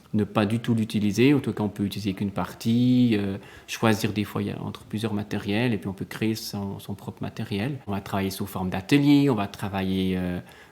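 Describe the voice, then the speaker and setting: Fairly low in pitch, a man talks fairly quickly with fairly even intonation and hardly any pauses. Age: 30s. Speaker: primary school teacher. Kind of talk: interview. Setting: quiet classroom. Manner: hesitant, many fillers.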